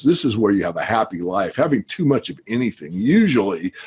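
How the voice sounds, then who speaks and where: The man talks at a moderate pace and a medium pitch. He has an unremarkable speaking voice. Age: 60s. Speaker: investment newsletter writer and market analyst. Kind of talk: podcast interview. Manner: casual, with frequent fillers.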